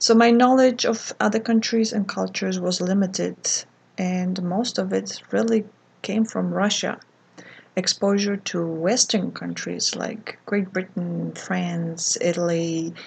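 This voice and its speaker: A woman's fairly slow delivery comes through with a quiet background behind her. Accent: Polish. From Poland. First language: Polish. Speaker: art vlogger. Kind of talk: casual vlog monologue. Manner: hesitant, many fillers.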